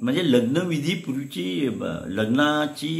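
A man is speaking. His pitch swings very widely. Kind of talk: talk show host conversation.

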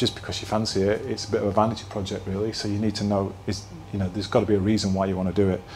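With a Yorkshire accent, a man of fairly low pitch talks very fast amid noticeable background noise and audible room echo. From northern England, Halifax (Yorkshire). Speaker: place branding consultant, keynote speaker. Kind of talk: keynote talk. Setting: stage with live audience. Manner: casual, hesitant with repetitions.

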